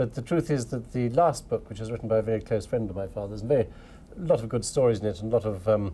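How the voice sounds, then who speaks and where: Very fast delivery in a dark, mellow, somewhat breathy tone. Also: man, medium pitch for a man, ordinary pitch variation. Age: 40s. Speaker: writer, son of a novelist. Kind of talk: radio interview. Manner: hesitant.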